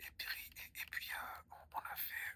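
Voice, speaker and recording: Whispering, a man speaks at a very slow pace. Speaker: ASMR creator. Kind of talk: ASMR whispered storytelling to camera. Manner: whispered, soft, relaxing.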